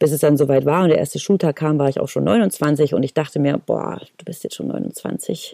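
A woman's very deep, low voice with vocal fry, a dark, mellow tone, lively intonation and hardly any pauses, in a dry, close sound with no echo. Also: moderate pace. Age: 30s. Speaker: acting student and podcast host. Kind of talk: casual podcast talk. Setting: recorded separately via laptop video call.

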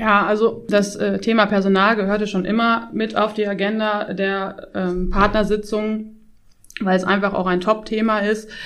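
A woman talks at a moderate pace in a medium pitch. Her intonation stays monotone and flat. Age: 30s. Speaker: tax advisor, firm partner. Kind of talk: interview.

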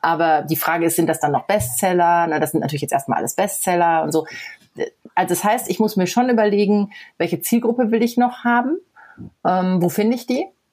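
A woman talks at a fairly quick pace with lively intonation. She has a plain, everyday voice. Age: 40s. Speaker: blogger. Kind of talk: casual interview.

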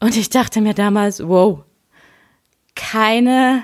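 The woman's ordinary pitch variation comes through in a very clean recording with a silent background. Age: 30s. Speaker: podcast host and leadership coach. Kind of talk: solo podcast monologue. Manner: casual, conversational with fillers.

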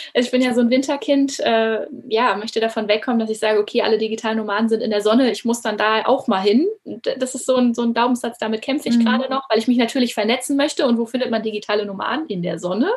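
A woman talks at a very fast pace in a fairly high pitch with ordinary pitch variation, over noticeable background noise. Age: 30s. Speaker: former teacher turned coach. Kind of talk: interview.

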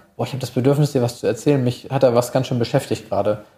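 Speaking at a very fast pace, a man with a medium pitch shows ordinary pitch variation and a dark, mellow, somewhat breathy tone. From Hamburg, northern Germany. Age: 30s. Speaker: sports psychologist. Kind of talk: interview.

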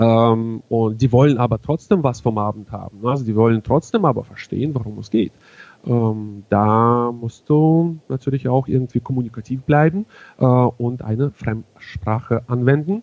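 The recording is dry and close with no echo as a man speaks at a moderate pace, with medium pitch and ordinary pitch variation. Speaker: wedding emcee. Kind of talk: casual interview. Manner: halting, many fillers.

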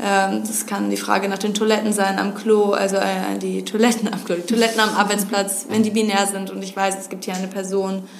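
A woman talks at a fairly quick pace in a monotone, flat intonation with big swings in loudness. Audible room echo and noticeable background noise surround her. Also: medium pitch for a woman. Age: 20s. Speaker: gender equality consultant. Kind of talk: interview.

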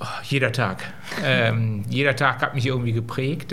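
A man speaks at a moderate pace with fairly even intonation, accompanied by noticeable background noise and audible room echo. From Germany, Solingen. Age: 50s. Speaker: company managing director. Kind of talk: live interview. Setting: stage with live audience.

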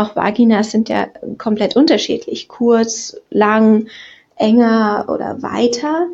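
Somewhat breathy and fairly high in pitch, a woman speaks very slowly with ordinary pitch variation. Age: 20s. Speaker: podcast listener. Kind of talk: recorded voice message.

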